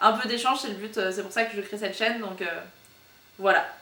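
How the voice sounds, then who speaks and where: Speaking at a fairly quick pace, a woman uses a medium pitch and fairly even intonation, with audible room echo and noticeable background noise. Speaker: book YouTuber. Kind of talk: casual vlog monologue. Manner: very fast; hesitant, many fillers.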